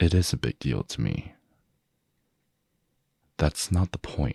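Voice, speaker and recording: In a dry, close sound with no echo, a man with a dark, mellow tone and vocal fry speaks at a very slow pace. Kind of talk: ASMR boyfriend roleplay. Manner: jealous, confrontational.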